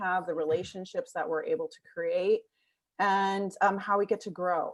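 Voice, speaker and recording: Against a quiet background, a woman with an American accent speaks at a medium pitch in an unremarkable speaking voice. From United States. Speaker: talent consultant. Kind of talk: podcast conversation.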